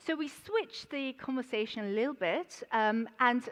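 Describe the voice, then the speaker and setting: Heard over a quiet background, this speaker talks at a moderate pace with a London accent and ordinary pitch variation. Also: woman. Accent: London accent (self-described). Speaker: banker, conference speaker. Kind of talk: conference presentation. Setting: conference stage with audience. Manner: hesitant, many fillers.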